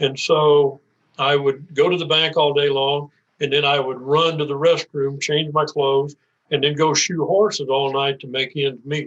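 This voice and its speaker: The speaker has an American accent and a moderate pace. The intonation is monotone and flat. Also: man, fairly high pitch for a man. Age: 80s+. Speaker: retired banker. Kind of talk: interview. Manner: halting.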